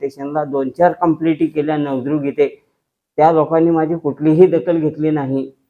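A man is speaking. His pitch is fairly high. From Dharashiv district, Maharashtra. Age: old. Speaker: farmer. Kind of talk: testimony. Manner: halting.

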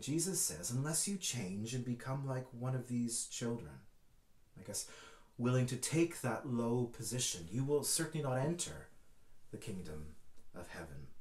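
A man speaks with long, frequent pauses. His voice is somewhat breathy, with audible room echo. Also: moderate pace. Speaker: church minister. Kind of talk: sermon.

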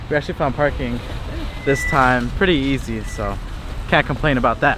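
A man's dry sound with no echo, amid noticeable background noise. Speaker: vlogger. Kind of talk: casual vlog chat. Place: street. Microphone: phone near.

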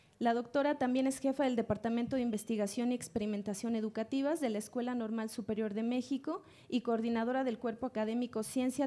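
Her tone is dark and mellow, and her intonation fairly even. The woman speaks at a very fast pace. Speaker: panel moderator. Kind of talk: reading speaker introductions. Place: hall. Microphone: podium.

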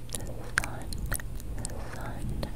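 A woman whispers at a very slow pace. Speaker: ASMR creator. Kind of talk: soft-spoken ASMR affirmation. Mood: soothing, calm. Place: home room. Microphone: studio mic.

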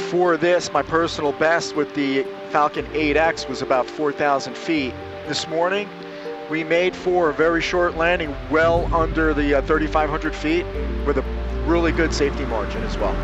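A man talks at a moderate pace in a dry, echo-free sound, with clear music playing behind him. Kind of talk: commentary. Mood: excited at the end. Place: plane. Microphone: headset.

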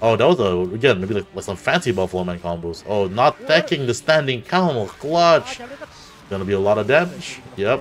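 A man talks at a fairly quick pace with very wide pitch swings over light background noise. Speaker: tournament commentator. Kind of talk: casual live commentary on arcade tournament matches. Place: home room.

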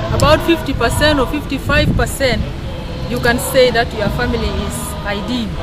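A woman speaks at a moderate pace while clear music plays behind her. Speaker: interviewee. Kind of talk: interview answer. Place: garden. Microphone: camera far.

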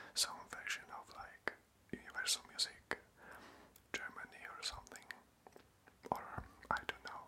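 Fairly slow whispering from a man. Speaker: ASMR creator. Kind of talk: casual talk to camera, update video. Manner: whispered, close-up. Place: home room. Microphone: phone near.

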